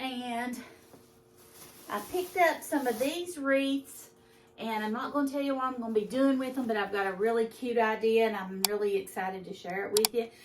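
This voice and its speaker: A woman with a Kentucky accent, fairly high in pitch, at a moderate pace with ordinary pitch variation. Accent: country Kentucky speech. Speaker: lifestyle vlogger. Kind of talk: casual haul video.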